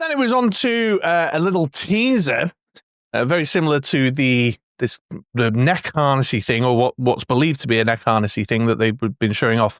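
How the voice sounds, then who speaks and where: A man with an English accent and medium pitch, fairly quick, with lively intonation, in a very clean recording with a silent background. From England. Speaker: collectibles YouTuber. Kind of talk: casual video commentary. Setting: home man cave. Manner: hesitant, many fillers.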